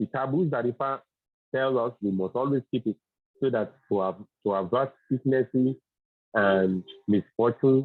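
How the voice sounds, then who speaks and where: A man with a Yoruba accent speaks with ordinary pitch variation. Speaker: Ifa religious teacher. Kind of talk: religious teaching. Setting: video call on phone, outdoors. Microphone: phone with weak reception.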